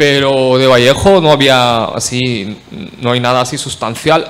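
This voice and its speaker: A man with a Marathi accent speaks in a medium pitch with ordinary pitch variation over noticeable background noise. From India, Marathi-speaking. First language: Marathi (speaking Spanish). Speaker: academic panelist. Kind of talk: conference talk. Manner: halting, many fillers.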